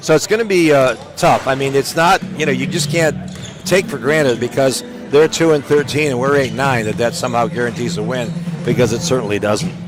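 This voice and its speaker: The voice moves at a fairly quick pace with lively intonation. Noticeable background noise runs underneath. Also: man, fairly high pitch for a man. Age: 70s. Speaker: play-by-play broadcaster. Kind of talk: sports broadcast commentary.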